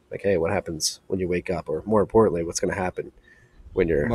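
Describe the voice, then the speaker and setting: The sound is dry and close, with no echo. It is a man talking. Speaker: podcast co-host.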